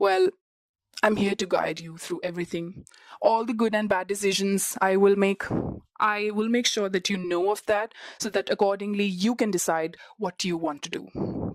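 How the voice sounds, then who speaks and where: A woman with a non-native accent speaks at a moderate pace and medium pitch, her voice dry and close with no echo. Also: fairly even intonation. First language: not English. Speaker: international student vlogger. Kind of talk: podcast monologue.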